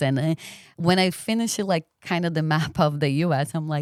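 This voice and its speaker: In a Brazilian accent, a woman speaks at a moderate pace, the sound dry and close with no echo on a very clean recording with a silent background. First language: Portuguese. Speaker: podcast guest. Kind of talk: interview conversation.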